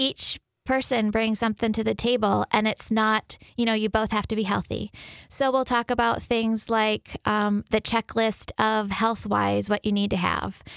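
Monotone, flat intonation at very even loudness, in a dry, close sound with no echo and a very clean recording with a silent background. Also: woman, fairly high pitch for a woman, moderate pace. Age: 40s. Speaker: physician at a birth center. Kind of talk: radio interview.

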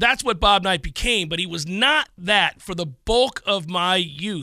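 A man's bright, sharp, high-pitched voice at a moderate pace. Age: 50s. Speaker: sports radio host. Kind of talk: casual chat.

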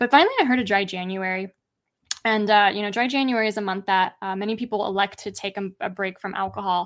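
This woman talks at a very fast pace, her medium pitch held to fairly even intonation. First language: not English. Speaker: alcohol-free life coach. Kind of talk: casual interview.

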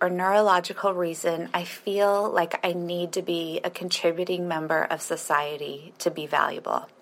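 The speaker has an unremarkable speaking voice and a moderate pace. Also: woman. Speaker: listener with chronic illness. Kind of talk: recorded voice question.

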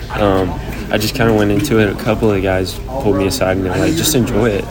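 Over music in the background, a man with an American accent talks at a fairly quick pace in a fairly low pitch with fairly even intonation, and the room echo is audible. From Texas, south of Dallas. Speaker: baseball prospect. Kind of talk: casual interview.

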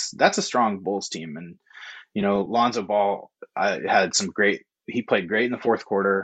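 In a normal speaking voice, a man with an American accent talks at a moderate pace, fairly low in pitch with fairly even intonation and big swings in loudness. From Oregon, Corvallis. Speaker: freelance sports writer. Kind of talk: casual chat.

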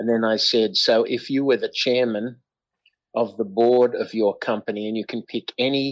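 The speaker is a man with an Australian accent. His pitch is medium and his pace moderate. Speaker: inventor. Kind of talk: interview.

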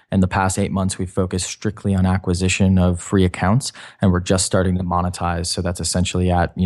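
Very deep and low, a man's voice runs at a very fast pace with hardly any pauses. His intonation is monotone and flat over a quiet background. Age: 20s. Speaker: pricing software founder. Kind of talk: interview. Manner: hesitant, many fillers.

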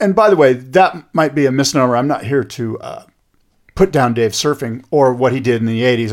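A normal speaking voice at a fairly quick pace, on a very clean recording with a silent background. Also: man. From USA. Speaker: surf podcast host. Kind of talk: casual chat. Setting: studio.

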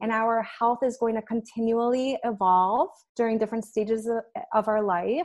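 A woman with an American accent and an unremarkable speaking voice talks at a moderate pace, her fairly high pitch kept to fairly even intonation against a quiet background. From US Midwest, Chicago. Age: 30s. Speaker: nutritionist and personal trainer. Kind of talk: podcast interview.

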